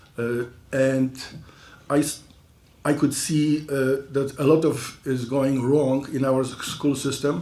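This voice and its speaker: Speaking very slowly, a man with a non-native accent uses a fairly high pitch. His intonation is monotone and flat. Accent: foreign. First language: not English. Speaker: school board candidate. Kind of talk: candidate forum statement. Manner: halting, many fillers.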